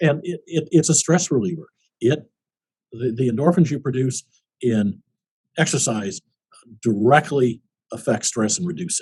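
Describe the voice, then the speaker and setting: A man with an American accent speaks in a medium pitch, somewhat breathy and with very wide pitch swings, in a dry, close sound with no echo. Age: 70s. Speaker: war veteran. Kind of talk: interview. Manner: halting.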